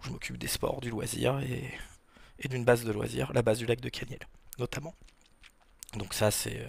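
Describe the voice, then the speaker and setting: A man speaks with vocal fry at a moderate pace. His intonation stays fairly even. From Normandy, France (Rouen). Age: 40s. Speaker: wakepark manager and sports federation official. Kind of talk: podcast interview, casual chat. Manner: hesitant, many fillers.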